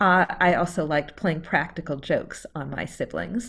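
The speaker uses vocal fry and keeps a moderate pace. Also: woman. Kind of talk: first-person historical storytelling presentation. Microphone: video call.

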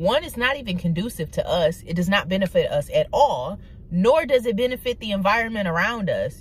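Over light background noise, a woman speaks at a moderate pace in an animated tone, the sound dry with no echo. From Detroit, Michigan (east side). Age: 20s. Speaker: YouTuber. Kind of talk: casual vlog monologue. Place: car. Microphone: phone near.

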